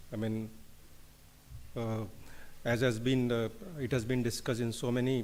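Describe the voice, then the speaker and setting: In an Indian accent, a man at a medium pitch speaks with monotone, flat intonation. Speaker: engineering company director. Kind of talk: conference speech.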